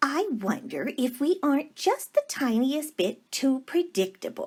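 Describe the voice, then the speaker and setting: In a put-on character voice, the speaker delivers lively intonation at a fairly slow pace with very even loudness. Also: woman, high pitch for a woman. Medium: read story. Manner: warm, gushing.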